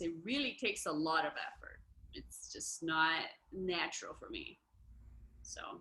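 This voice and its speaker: In a Portuguese accent, a woman's bright, sharp voice makes very wide pitch swings and shows vocal fry. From Brazil. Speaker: musician. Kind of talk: casual chat. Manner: halting.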